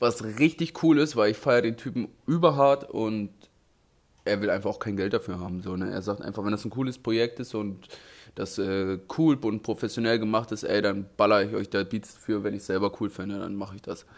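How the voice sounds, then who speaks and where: A man's fairly low voice at a moderate pace, with ordinary pitch variation, on a very clean recording with a silent background. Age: 20s. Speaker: graffiti artist and true crime YouTuber. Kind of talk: casual vlog monologue. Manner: casual slangy.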